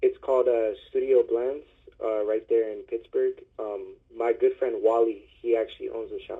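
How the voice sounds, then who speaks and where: Speech in a Californian accent at a moderate pace, with big swings in loudness. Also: man. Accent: Californian American English. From Concord, California (Bay Area). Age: 20s. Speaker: boxer. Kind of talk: interview. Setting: phone call. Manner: halting, many fillers.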